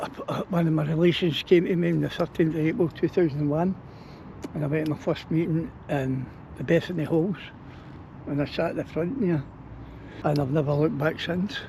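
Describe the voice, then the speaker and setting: Fairly quick yet broken by long, frequent pauses, a man's speech has fairly even intonation and a Glaswegian accent. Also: fairly high pitch for a man. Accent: broad Glaswegian Scottish. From Scotland, Glasgow area. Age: 60s. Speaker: local resident, recovering alcoholic. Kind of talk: street interview.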